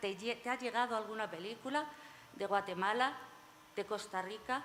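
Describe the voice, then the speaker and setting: A woman speaks in a normal speaking voice at a medium pitch and a moderate pace. Her pitch rises and falls in an ordinary way. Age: 60s. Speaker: panel moderator. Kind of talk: panel discussion.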